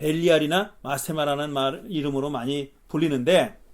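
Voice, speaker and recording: A man speaks at a fairly high pitch. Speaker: pastor. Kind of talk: lecture. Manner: fast; casual, colloquial.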